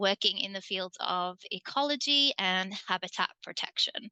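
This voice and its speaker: A woman with an English accent speaks in a bright, sharp tone and lively intonation, the sound dry and close with no echo over a quiet background. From England. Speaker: community energy co-op board member, environmental program coordinator. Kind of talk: online panel presentation.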